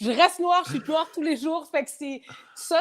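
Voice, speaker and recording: A woman talks at a moderate pace on a very clean recording, the background silent. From Quebec City, Quebec (earlier childhood in France/Africa). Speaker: rapper. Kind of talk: casual chat. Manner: halting.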